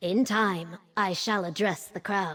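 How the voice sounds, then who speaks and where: A woman puts on a character voice, talking fairly slowly at a medium pitch. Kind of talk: ceremonial speech. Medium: video game. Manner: formal, stately.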